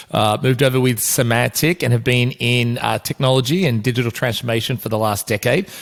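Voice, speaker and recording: Speaking with an Australian accent, a man talks at a fairly quick pace with hardly any pauses. His pitch is medium, with ordinary variation. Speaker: podcast host and business executive. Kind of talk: podcast interview. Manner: hesitant with frequent fillers.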